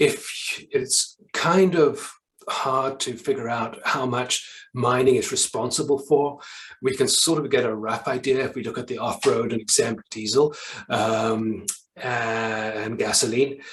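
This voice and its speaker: A man's somewhat breathy, medium-pitched voice at a fairly slow pace, with ordinary pitch variation. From South Africa. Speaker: environmental non-profit staff presenter. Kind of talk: presentation. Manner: hesitant, many fillers.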